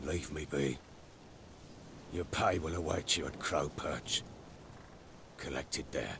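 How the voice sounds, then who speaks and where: Putting on a character voice, a man speaks very deep and low at a fairly slow pace with long, frequent pauses over clear background noise. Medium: video game. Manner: gruff, clipped.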